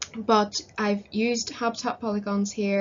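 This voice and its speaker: A woman with a Northern Irish accent speaks at a fairly slow pace. Her medium pitch stays monotone and flat. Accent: Northern Irish (Belfast). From Northern Ireland, Belfast. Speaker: conservation volunteer presenting research. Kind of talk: conference presentation. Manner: hesitant, many fillers.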